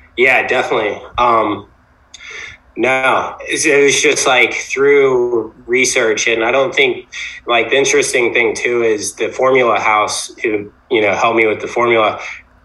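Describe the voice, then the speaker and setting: Amid noticeable background noise, a man speaks at a fairly slow pace in a medium pitch with fairly even intonation. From Virginia Beach, US. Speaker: entrepreneur, toothpaste brand founder. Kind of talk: casual interview.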